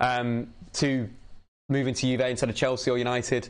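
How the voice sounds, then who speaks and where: This man speaks at a medium pitch. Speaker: football commentator streamer. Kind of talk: live match watchalong commentary. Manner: animated.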